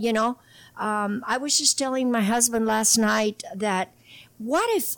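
A woman talks at a fairly slow pace in a normal speaking voice, fairly high in pitch. Her intonation is lively and the sound is dry and close with no echo. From Imperial Valley, California. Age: 60s. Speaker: political candidate, water district. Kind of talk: casual interview conversation.

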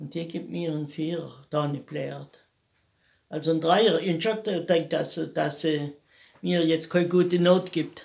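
Fairly low female voice with vocal fry, a fairly slow pace and long, frequent pauses. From Lake Constance area, southern Germany. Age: 80s+. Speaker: grandmother interviewee. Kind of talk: life story interview. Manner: halting.

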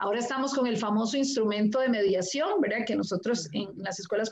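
Speaking with a Costa Rican accent, a woman talks at a fairly quick pace in a fairly high pitch, with noticeable background noise. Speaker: primary school teacher. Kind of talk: live-stream panel conversation.

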